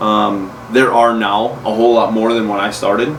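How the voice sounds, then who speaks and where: Noticeable background noise sits behind the recording. A man speaks at a moderate pace in a monotone, flat delivery. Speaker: metal polisher and podcast host. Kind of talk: interview / podcast conversation. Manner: casual, conversational.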